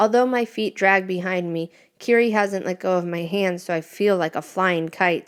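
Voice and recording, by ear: A natural voice reading aloud, its pitch moving in an ordinary way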